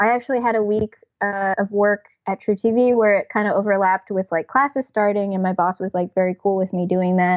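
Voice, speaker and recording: An unremarkable speaking voice from a woman with an American accent, medium in pitch, fairly quick and fairly even in intonation. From New Jersey, near New York City. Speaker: comedian and writer. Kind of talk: casual interview.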